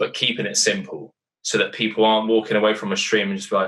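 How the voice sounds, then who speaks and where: This is a man's voice. He speaks with an English accent. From Britain. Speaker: poker commentator and player. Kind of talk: casual interview chat. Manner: animated.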